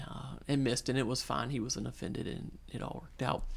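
A man with vocal fry speaks at a very fast pace and medium pitch. The recording is very clean, with a silent background. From Louisiana, North Shore of New Orleans. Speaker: missionary and former worship pastor. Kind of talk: interview.

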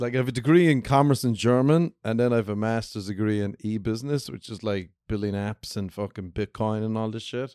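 In an Irish accent, a man speaks at a fairly quick pace with hardly any pauses, a dark, mellow tone and ordinary pitch variation. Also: medium pitch for a man. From Ireland. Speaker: stand-up comedian, podcast guest.

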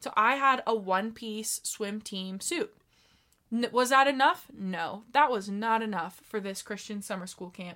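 A woman's fairly high, bright, sharp voice at a fairly slow pace, with big swings in loudness, on a very clean recording with a silent background. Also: ordinary pitch variation. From Wyoming. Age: 20s. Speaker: podcast guest. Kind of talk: casual chat.

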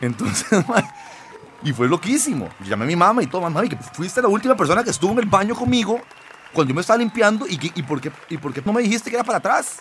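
Over crowd noise in the background, a man with a high pitch talks at a very fast pace in an animated tone with very wide pitch swings. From Costa Rica (born in Lima, Peru, moved at 7). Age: 40s. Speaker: singer and comedian. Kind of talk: casual interview talk.

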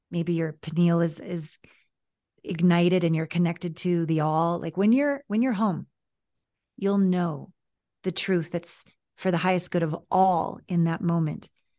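With a Canadian accent, a woman speaks at a fairly slow pace with long, frequent pauses. Her fairly low voice has a dark, mellow tone against a quiet background. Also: ordinary pitch variation. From small-town Canada. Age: 50s. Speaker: intimacy coach. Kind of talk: interview. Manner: animated.

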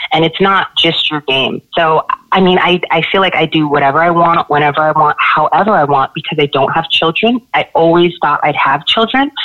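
A fairly low-pitched female voice at a moderate pace with hardly any pauses, very even loudness and ordinary pitch variation, over noticeable background noise. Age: 30s. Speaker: nurse. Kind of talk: casual chat.

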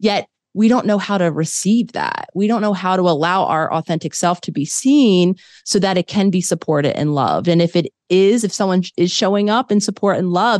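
A woman with an American accent speaks at a fairly quick pace, in a medium pitch with ordinary pitch variation. It is an unremarkable speaking voice, with a dry, close sound and no echo. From US, Philadelphia. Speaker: clinical psychologist. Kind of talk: interview conversation.

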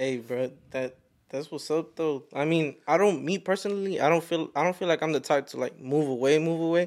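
Recorded very clean with a silent background, a man with an ordinary speaking voice and an American accent talks at a fairly quick pace, with fairly high pitch and ordinary pitch variation. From Fort Worth, Texas. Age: 20s. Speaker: photographer and videographer. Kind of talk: casual podcast chat. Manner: casual slangy, says bro often.

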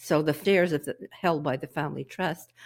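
A woman talks at a very deep, low pitch with vocal fry and fairly even intonation. The recording is very clean, with a silent background. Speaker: tax and estate planning specialist. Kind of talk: professional discussion.

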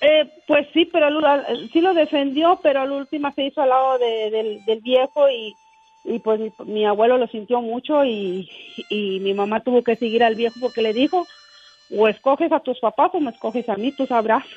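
Against noticeable background noise, a woman with a high pitch and lively intonation speaks at a moderate pace. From Mexico, Tamaulipas. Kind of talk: testimony.

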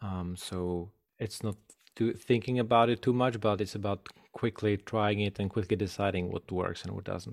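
Heard on a very clean recording with a silent background, a man with an unremarkable speaking voice talks at a fairly low pitch and a moderate pace with fairly even intonation. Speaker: podcast host. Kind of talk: interview.

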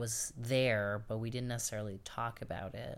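The speaker has a New York accent, on a very clean recording with a silent background. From New York City, Queens. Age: 30s. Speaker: oral history interviewee. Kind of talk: oral history interview.

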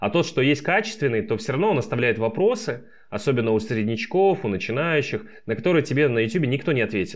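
Against a quiet background, a man talks at a very fast pace. His fairly high voice has very wide pitch swings. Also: very even loudness. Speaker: startup founder. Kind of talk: interview.

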